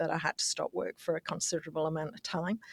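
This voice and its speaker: The recording of a woman with an Australian accent has a dry, close sound with no echo. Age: 60s. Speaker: business executive. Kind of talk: podcast interview.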